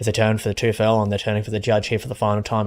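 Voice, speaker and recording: A fairly low-pitched male voice, flat and monotone, over noticeable background noise. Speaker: gaming streamer. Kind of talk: live commentary. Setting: live stream. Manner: stutter.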